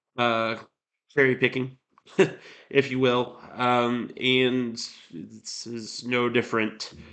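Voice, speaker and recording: With an American accent, a man speaks at a fairly slow pace, his medium-pitched voice bright and sharp in tone. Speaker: sports podcast host. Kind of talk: sports talk podcast. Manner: casual, many filler words.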